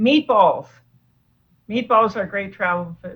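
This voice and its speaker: A somewhat breathy woman's voice, fairly high in pitch, at a moderate pace. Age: 60s. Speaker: doctor and food addiction author. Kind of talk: interview.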